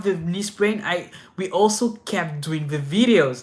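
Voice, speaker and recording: A man with a French accent speaks at a moderate pace. His tone is bright and sharp, and his intonation is lively. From France. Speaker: inline skating youtuber. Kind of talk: live stream Q&A. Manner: casual, many fillers and restarts.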